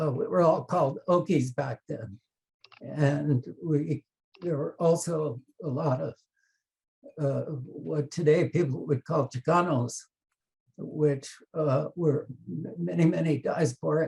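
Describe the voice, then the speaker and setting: A man speaks very slowly, with vocal fry, ordinary pitch variation and long, frequent pauses. The sound is dry and close, with no echo. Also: fairly high pitch for a man. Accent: American. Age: 70s. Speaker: author and book editor. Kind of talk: panel discussion on video call.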